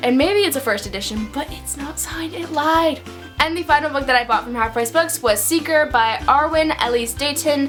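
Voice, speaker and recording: Music plays in the background as a woman talks at a moderate pace in an upbeat tone. Her loudness swings widely, while her pitch varies an ordinary amount. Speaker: book reviewer. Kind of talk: casual talk to camera. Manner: upbeat, chatty.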